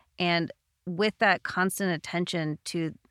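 A woman with a normal speaking voice talks at a fairly slow pace and a fairly low pitch. The recording is very clean, dry and close, with no echo and a silent background. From Canada. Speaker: personal trainer. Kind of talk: casual interview.

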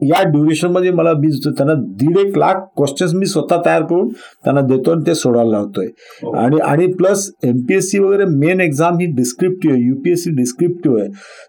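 A man's fairly high pitch pairs with a dark, mellow tone and lively intonation. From Hingoli, Marathwada, Maharashtra. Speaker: retired police officer. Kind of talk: interview.

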